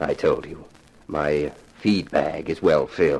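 Doing a put-on character voice, a man speaks slowly at an extremely low pitch, with fairly even intonation, vocal fry, a slightly mellow tone and a slightly husky edge.

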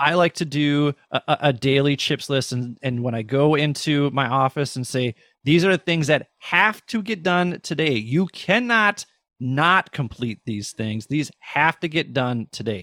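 A man speaks at a fairly slow pace in a fairly high pitch, his bright, sharp tone animated and his intonation lively, on a very clean recording with a silent background and a dry, close sound with no echo. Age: 40s. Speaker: former educator and podcast host. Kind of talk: interview conversation.

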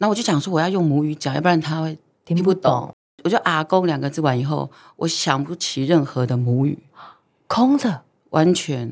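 A woman talks at a moderate pace in a very deep, low pitch. Her tone is animated and her intonation lively. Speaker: singer and former TV host. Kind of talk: casual chat.

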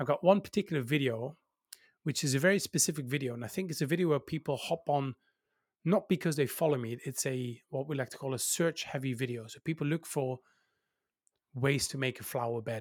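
Speaking with a Dutch accent, a man with a fairly high pitch talks at a fairly quick pace with ordinary pitch variation, in a dry, close sound with no echo. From Netherlands. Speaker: YouTuber. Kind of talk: interview.

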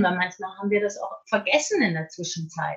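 A woman is speaking. Her tone is bright and sharp. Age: 50s. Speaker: author and coach. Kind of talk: interview.

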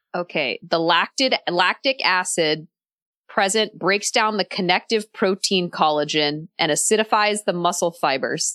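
A woman's medium-pitched voice with a bright, sharp tone, fairly slow pace, very even loudness, and a dry, close sound with no echo over a quiet background. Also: ordinary pitch variation. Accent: American. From Texas. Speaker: food writer. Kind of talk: casual chat. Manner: animated.

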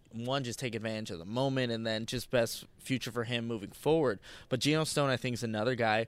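A man speaks in an unremarkable speaking voice, medium in pitch with fairly even intonation, captured on a very clean recording against a silent background. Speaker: co-host, sports analyst. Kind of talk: casual sports podcast chat.

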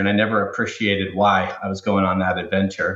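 The voice carries an American accent. It moves at a moderate speed. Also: man. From Southern California. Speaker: company president. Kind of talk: interview conversation.

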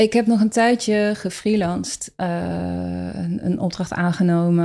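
A woman speaks in a dark, mellow tone at a fairly low pitch. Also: very clean recording, silent background. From Rotterdam, Netherlands. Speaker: fermentation teacher, former HR trainer. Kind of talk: interview conversation.

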